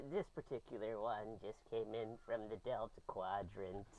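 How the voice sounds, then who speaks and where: A man performs a put-on character voice at a moderate pace. Clear background noise runs beneath him. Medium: actual play. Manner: eager, rambling.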